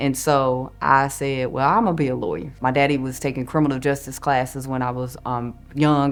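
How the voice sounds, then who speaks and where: Over music in the background, a woman in a Southern US accent speaks with a very deep, low pitch and a monotone, flat intonation. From North Carolina, Forsyth County. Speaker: lawyer. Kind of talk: interview testimony.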